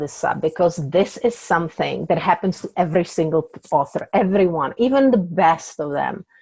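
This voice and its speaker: In a Czech accent, a woman speaks at a moderate pace with hardly any pauses, using a fairly low pitch and lively intonation. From Czech Republic. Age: 40s. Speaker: author. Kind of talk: podcast interview.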